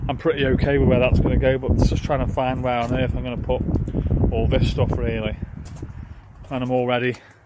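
Speaking at a fairly quick pace, a man comes through dry with no echo, over noticeable background noise. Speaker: van life vlogger. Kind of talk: casual vlog chat. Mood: mildly frustrated, resigned. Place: car. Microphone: phone near.

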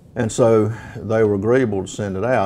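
A man's slightly mellow voice with vocal fry, little pitch movement and a moderate pace

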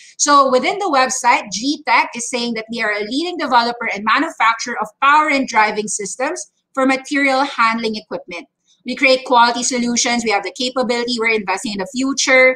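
Against a quiet background, a woman with a high-pitched voice talks at a fairly quick pace with ordinary pitch variation. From Philippines. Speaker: stock trading educator; market commentator host. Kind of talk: market update livestream. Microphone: webcam.

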